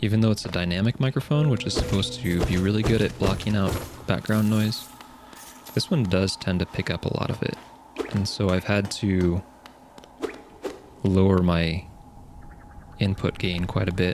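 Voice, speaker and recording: Moderate-paced speech with long, frequent pauses over music in the background. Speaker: gaming streamer. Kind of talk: let's play commentary. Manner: casual, chatty.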